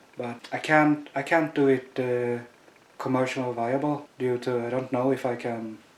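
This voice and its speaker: Noticeable background noise sits behind a man speaking at a medium pitch with monotone, flat intonation. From Sweden. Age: 30s. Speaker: chronic pain patient. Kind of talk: testimony. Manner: halting, many fillers.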